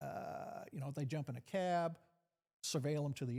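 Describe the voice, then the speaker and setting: A man with an Arkansas accent and a dark, mellow tone, at a fairly slow pace with ordinary pitch variation. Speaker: retired FBI agent. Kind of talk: interview conversation. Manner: hesitant, many fillers.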